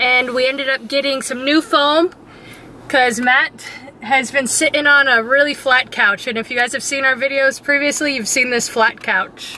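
A woman's raised, projected voice at a moderate pace, with a dry sound, no echo and light background noise. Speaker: travel vlogger. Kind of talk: casual vlog chat. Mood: cheerful, excited, laughing. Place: car. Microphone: phone near.

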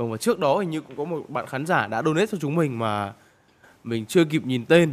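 On a very clean recording with a silent background, a man talks very fast. His voice is fairly high and his intonation lively. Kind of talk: live sports commentary. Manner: praises shots and addresses viewers directly.

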